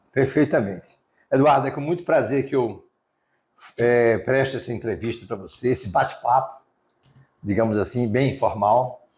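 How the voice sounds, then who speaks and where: Somewhat breathy, the voice moves at a moderate pace with long, frequent pauses and ordinary pitch variation. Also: man, medium pitch for a man. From Brazil, Sergipe (Aracaju). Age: 60s. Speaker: real estate businessman. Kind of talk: interview. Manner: hesitant, with fillers.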